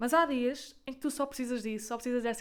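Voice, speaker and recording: This woman speaks with a European Portuguese accent. Her pitch is high. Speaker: podcaster. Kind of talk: casual monologue. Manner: fast.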